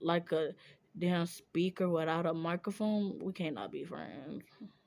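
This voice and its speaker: A woman speaks at a fairly slow pace with a fairly low pitch. Her tone is animated, and her pitch varies in an ordinary way. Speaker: streamer. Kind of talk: casual chat.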